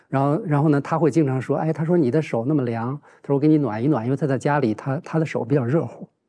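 At a very fast pace with hardly any pauses, a man speaks in a dark, mellow tone with a fairly high pitch and ordinary pitch variation. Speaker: professor. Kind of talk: roundtable discussion. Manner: halting, many filler sounds. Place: studio. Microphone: lapel.

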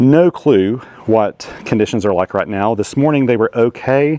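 A man speaks in a dark, mellow tone with ordinary pitch variation. The sound is dry with no echo. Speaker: amateur radio operator. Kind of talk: casual vlog chat. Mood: relaxed, chatty. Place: open country. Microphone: lapel.

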